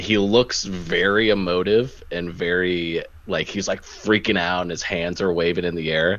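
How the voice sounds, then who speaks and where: At a moderate pace, a man with a very deep, low pitch speaks in fairly even intonation. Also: hardly any pauses. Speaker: soccer podcast co-host. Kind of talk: casual chat. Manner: loud.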